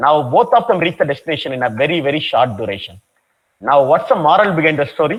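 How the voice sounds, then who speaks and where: With a Tamil Nadu accent, a man speaks at a fairly quick pace and fairly high pitch, showing vocal fry and very wide pitch swings. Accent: Tamil Indian English. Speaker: professor. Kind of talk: lecture.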